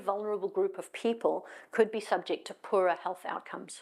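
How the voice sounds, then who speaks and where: The recording is very clean, with a silent background. A woman speaks with a South African accent. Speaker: tech executive. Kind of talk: conference talk. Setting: stage with audience. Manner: fast.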